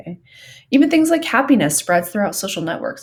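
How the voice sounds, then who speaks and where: A woman in an American accent sounds somewhat breathy, her pitch swinging very widely. The recording is very clean with a silent background. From Southern California. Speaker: psychology teacher. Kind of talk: lecture. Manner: many filler ums, conversational.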